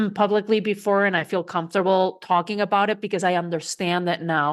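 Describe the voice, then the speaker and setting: With a Spanish accent, a woman speaks at a fairly quick pace and medium pitch. The background is quiet. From Spain. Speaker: coach and speaker. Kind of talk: interview.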